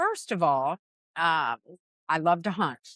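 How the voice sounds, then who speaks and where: A woman with an American accent talks in a bright, sharp tone with lively intonation. The sound is dry and close, with no echo. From Florida. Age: 60s. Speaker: fishing captain. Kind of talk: casual chat. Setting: restaurant on the water.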